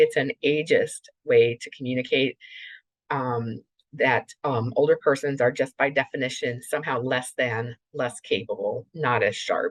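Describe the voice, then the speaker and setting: The recording of this woman, speaking at a fairly slow pace, has a dry, close sound with no echo. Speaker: clinical neuropsychologist presenter. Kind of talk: webinar lecture. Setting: remote webinar. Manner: deliberately slowed, with brief pauses.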